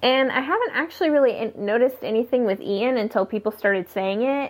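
A woman's fairly high voice is heard with noticeable noise behind it. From California. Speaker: listener giving voice feedback. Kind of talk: recorded voice message. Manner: hesitant, rambling with fillers.

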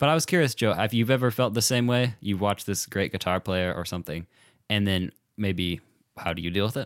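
A man with a normal speaking voice talks at a fairly quick pace, fairly low in pitch with ordinary pitch variation. The recording is very clean, with a silent background and a dry, close sound with no echo. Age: 20s. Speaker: college student podcast co-host. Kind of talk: casual chat.

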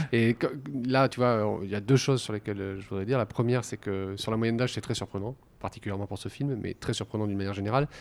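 Very fast, fairly even speech from a man with a fairly low pitch, on a very clean recording with a silent background. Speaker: podcast host. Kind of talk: interview. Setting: library recording room, masked. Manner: halting.

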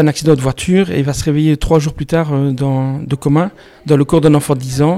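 With fairly even intonation, a man speaks in a fairly high pitch at a moderate pace. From Belgium, Liège region. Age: 40s. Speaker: novelist. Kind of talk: interview.

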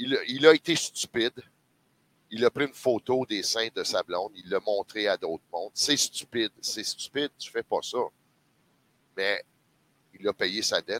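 At a fairly slow pace, a man talks with long, frequent pauses in a dry, close sound with no echo. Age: 50s. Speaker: sports commentator. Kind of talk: casual chat.

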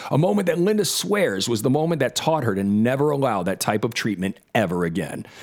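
A man talks at a fairly quick clip with hardly any pauses, his pitch swinging very widely while his loudness stays very even. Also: medium pitch for a man. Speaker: podcast host. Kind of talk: scripted narration mixed with casual chat.

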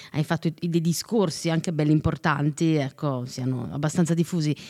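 A woman's very deep, low pitch with ordinary pitch variation, in a very clean recording with a silent background. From Italy, Neapolitan roots. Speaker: podcast host and radio presenter. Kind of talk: casual interview.

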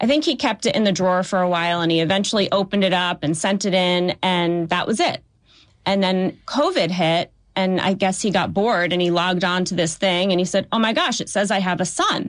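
A woman's plain, everyday voice at medium pitch, fairly quick in pace with fairly even intonation, over a quiet background. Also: very even loudness. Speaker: lawyer. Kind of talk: interview.

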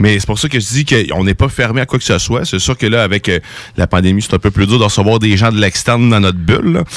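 Against noticeable background noise, a man with a fairly low pitch keeps a very even loudness and ordinary pitch variation. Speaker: show creator. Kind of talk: casual chat.

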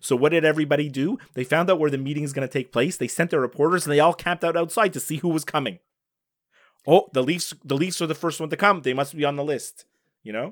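In a very clean recording with a silent background, a man with a fairly high voice talks very fast, his pitch varying in an ordinary way. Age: 40s. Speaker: sports podcast co-host. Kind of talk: casual chat.

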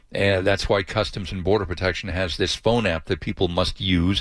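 Recorded very cleanly against a silent background, a man with an ordinary speaking voice talks at a fairly quick pace with fairly low pitch and fairly even intonation. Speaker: news correspondent. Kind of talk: live news report.

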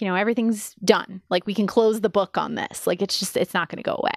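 A woman with an American accent speaks quite quickly in a normal speaking voice of medium pitch, recorded very cleanly with a silent background and a dry, close sound with no echo. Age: 30s. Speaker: podcast co-host. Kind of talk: casual chat. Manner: laughs often.

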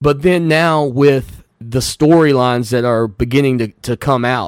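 A man with a Southern US accent talks at a fairly slow pace. His pitch is medium, with ordinary variation. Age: 40s. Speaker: sports radio host. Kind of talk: radio talk show.

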